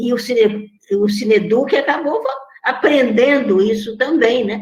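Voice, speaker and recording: A high-pitched woman at a fairly slow pace with ordinary pitch variation, amid audible room echo. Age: 80s+. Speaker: film educator. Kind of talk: online talk.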